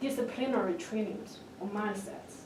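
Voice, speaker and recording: The voice moves at a moderate pace. Noticeable background noise and audible room echo fill the recording. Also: woman. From China. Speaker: doctoral student panelist. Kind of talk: panel discussion. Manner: halting.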